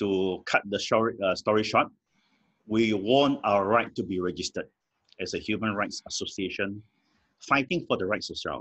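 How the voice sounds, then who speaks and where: The delivery is at a moderate pace, with ordinary pitch variation and long, frequent pauses over a quiet background. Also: man, fairly low pitch for a man. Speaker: guest, lawyer. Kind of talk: interview answer. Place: home room. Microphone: video call.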